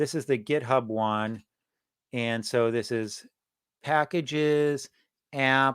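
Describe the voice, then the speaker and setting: The speaker mumbles with fairly even intonation and long, frequent pauses, in a very clean recording with a silent background. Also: man. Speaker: software engineer and live stream host. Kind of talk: live coding stream. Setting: live stream from own computer. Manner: hesitant, many fillers; mumbling through.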